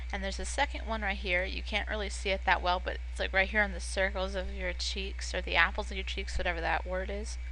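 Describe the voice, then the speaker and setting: This woman talks very fast with hardly any pauses, her pitch very deep and low. Her intonation is flat and monotone, and background noise is noticeable. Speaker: gaming tutorial youtuber. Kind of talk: tutorial. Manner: casual, filler-heavy (um, like).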